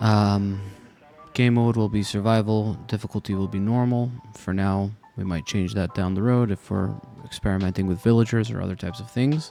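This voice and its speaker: A man's fairly low voice with music in the background. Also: fairly even intonation. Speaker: Minecraft let's play content creator. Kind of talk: casual talk to camera, gameplay commentary. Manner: soft-spoken, relaxed, unhurried.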